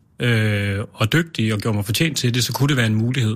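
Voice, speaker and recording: A man speaks here. His voice is somewhat breathy. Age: 30s. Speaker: mayor and conservative politician. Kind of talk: casual chat. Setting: studio.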